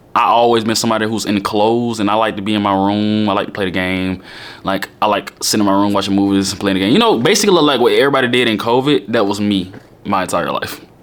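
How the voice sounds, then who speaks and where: There is noticeable background noise as a man with a fairly low pitch talks at a very fast pace, his intonation fairly even. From Alabama, Birmingham. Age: 20s. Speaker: YouTuber. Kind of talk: casual Q&A vlog.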